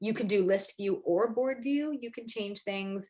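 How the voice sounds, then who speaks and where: A woman speaks at a moderate pace. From Canada. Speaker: interior designer. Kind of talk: webinar presentation.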